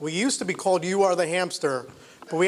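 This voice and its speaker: A loud man talks very fast in a high pitch. Noticeable background noise runs behind him. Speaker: entrepreneur. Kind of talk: business pitch presentation. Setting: event venue with live audience, live stream.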